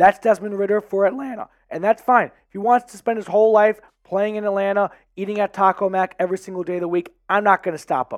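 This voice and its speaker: A man speaks at a very fast pace and a high pitch, with big swings in loudness. The recording is very clean, with a silent background. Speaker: sports YouTube host. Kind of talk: casual sports commentary. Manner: animated.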